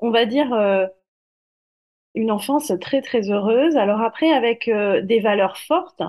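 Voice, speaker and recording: Very slow in pace, a woman speaks at a fairly high pitch with ordinary pitch variation. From southern France. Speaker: medium and corporate finance manager. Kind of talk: interview.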